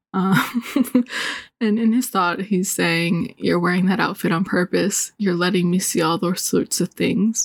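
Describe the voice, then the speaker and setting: A woman with an ordinary speaking voice and medium pitch talks at a fairly slow pace, her loudness very even and her pitch varying in an ordinary way. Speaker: graphic designer. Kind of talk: casual chat, hentai review.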